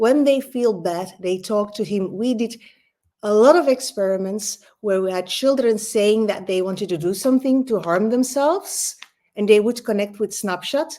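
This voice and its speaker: A woman with a Dutch accent talks at a moderate pace with a fairly high pitch and a dark, mellow tone. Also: ordinary pitch variation. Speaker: learning expert and author. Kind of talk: conference talk. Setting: online conference. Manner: animated.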